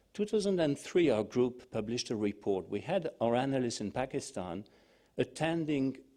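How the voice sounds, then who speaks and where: A man with a French accent speaks in a dark, mellow tone with very wide pitch swings. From France. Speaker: think-tank analyst. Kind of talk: panel discussion. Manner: hesitant.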